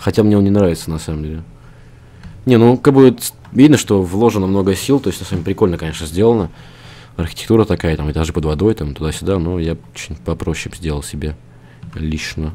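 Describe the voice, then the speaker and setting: With a very deep, low pitch and lively intonation, a man talks very fast yet leaves long, frequent pauses. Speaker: gaming channel host. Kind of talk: casual gameplay chat. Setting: game recording, online server.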